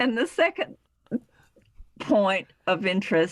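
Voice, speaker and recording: A woman with a Southern US accent, medium pitch and lively intonation at a very slow pace, in a dry, close sound with no echo. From US South. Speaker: author. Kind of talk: interview.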